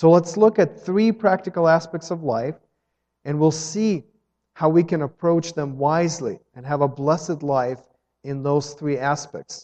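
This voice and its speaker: A man speaks in a normal speaking voice at a fairly slow pace. His pitch is fairly high, with ordinary pitch variation. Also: big swings in loudness. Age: 30s. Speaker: pastor. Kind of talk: sermon.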